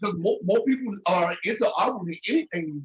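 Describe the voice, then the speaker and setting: This is a man speaking. He moves at a fairly quick pace. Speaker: author. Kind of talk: casual chat.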